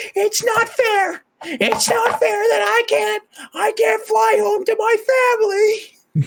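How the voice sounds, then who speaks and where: Someone uses a put-on character voice at an extremely high pitch and a fairly slow pace. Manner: whiny, yelling, indignant.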